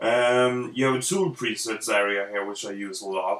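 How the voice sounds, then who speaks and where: A man with a Swedish accent talks at a moderate pace. Noticeable background noise runs underneath. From Sweden. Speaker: illustrator. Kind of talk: tutorial. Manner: halting, many fillers.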